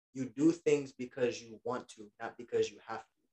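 Moderate pace from a man, the sound dry and close with no echo. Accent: New York. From Queens, New York. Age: 20s. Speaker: federal government worker and military veteran. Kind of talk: casual chat.

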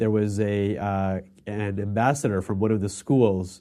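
Against a quiet background, a man speaks at a moderate pace with a fairly low pitch, fairly even intonation and a dark, mellow tone. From Dubai, Indian family. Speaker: entrepreneur. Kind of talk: casual chat.

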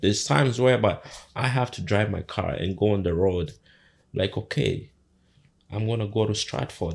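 Somewhat breathy and fairly low-pitched, this man talks at a moderate pace with lively intonation. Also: very clean recording, silent background. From Uganda. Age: 30s. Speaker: home care business owner. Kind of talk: casual interview.

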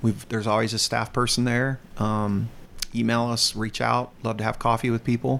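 A man with a medium-pitched voice speaks in a monotone, flat way at a moderate pace, his loudness very even. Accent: slight Southern US. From US South, North Carolina. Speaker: youth ministry director. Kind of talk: interview.

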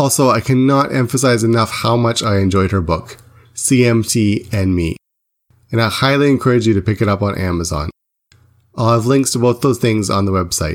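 A man talks in a plain, everyday voice at a medium pitch and moderate pace. His loudness stays very even, and his pitch varies in an ordinary way. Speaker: podcast host. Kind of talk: interview, casual conversational. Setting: remote call from Tokyo.

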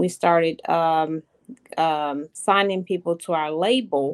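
In a dry, close recording with no echo, a woman speaks at a fairly slow pace in a fairly low pitch. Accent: American. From Virginia, Hampton. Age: 40s. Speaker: gospel promoter. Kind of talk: interview.

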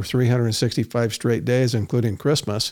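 A man speaks in an unremarkable speaking voice at medium pitch, with fairly even intonation and an American accent. The recording is very clean, with a silent background. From Utah, US. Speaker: entrepreneur and public speaker. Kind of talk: interview.

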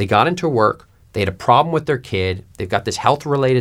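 A man's ordinary speaking voice with an American accent, lively intonation and a moderate pace. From New York. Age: 30s. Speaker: media executive. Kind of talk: interview.

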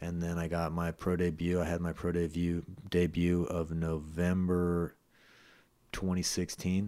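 On a very clean recording with a silent background, a man with an American accent speaks in a very deep, low voice with a dark, mellow tone and monotone, flat intonation. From US West Coast, San Francisco Bay Area. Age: 30s. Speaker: MMA fighter and personal trainer. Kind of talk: interview.

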